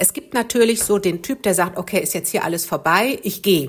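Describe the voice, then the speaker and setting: This woman has a normal speaking voice, medium in pitch, with ordinary pitch variation and a moderate pace. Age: 50s. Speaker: relationship coach and author. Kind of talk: casual interview.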